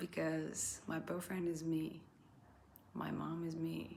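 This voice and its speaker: Audible room echo surrounds a woman who speaks with a non-native accent. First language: not English. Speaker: vlogger. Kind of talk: casual monologue. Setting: indoors by candlelight. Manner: halting.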